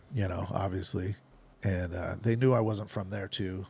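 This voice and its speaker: A man with an American accent and a very deep, low, somewhat breathy voice speaks at a moderate pace with ordinary pitch variation, recorded very cleanly against a silent background. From Nebraska. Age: 50s. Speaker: professional gambler. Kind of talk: casual chat.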